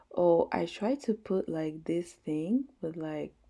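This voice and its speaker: A woman speaks very slowly in a very clean recording with a silent background. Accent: French. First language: French. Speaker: gaming YouTuber. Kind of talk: casual gameplay voice-over. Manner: filler-heavy, casual.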